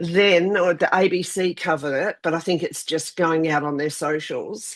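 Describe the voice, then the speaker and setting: Speaking in an Australian accent, a woman keeps to a moderate pace. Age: 60s. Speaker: vlog co-host. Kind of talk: casual chat.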